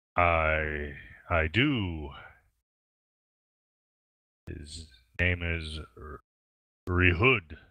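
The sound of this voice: A man speaks at a very slow pace in a put-on character voice, very deep and booming. Long pauses come often.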